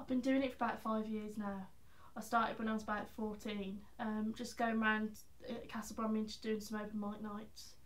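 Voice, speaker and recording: A fairly high-pitched woman's voice in a Birmingham accent, monotone and flat, at a moderate pace, with audible room echo. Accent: Birmingham (Brummie) English. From England, Birmingham. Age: young. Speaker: singer-songwriter. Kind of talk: casual interview. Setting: college premises. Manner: hesitant, many fillers.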